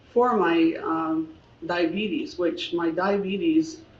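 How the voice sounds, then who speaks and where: Noticeable background noise runs throughout. The delivery is very slow. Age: 70s. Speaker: lipodystrophy patient. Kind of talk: testimony.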